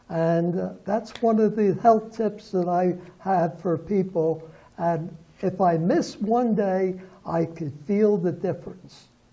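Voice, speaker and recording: A man with an American accent speaks at a very slow pace. His voice is high, with fairly even intonation. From Philadelphia, US. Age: 80s+. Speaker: pastor. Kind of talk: TV interview. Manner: hesitant, many fillers.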